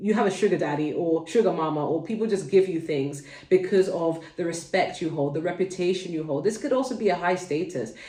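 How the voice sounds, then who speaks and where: The speaker has a London accent. The pace is fairly quick. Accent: London accent, well-spoken. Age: adult, mother. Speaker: tarot reader, channel host. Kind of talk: tarot reading to camera. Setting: at home, kids nearby. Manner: casual, chatty.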